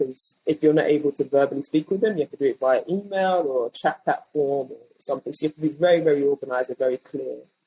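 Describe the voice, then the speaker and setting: In a British accent, a woman speaks at a very fast pace with a very deep, low pitch and a dark, mellow tone. Her intonation is fairly even, and the sound is dry and close with no echo. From England. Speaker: design leader. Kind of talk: interview.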